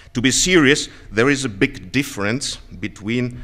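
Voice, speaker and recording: A man talks at a fairly slow pace with ordinary pitch variation. It is a normal speaking voice. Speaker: conference speaker. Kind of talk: lecture. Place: hall. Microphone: podium.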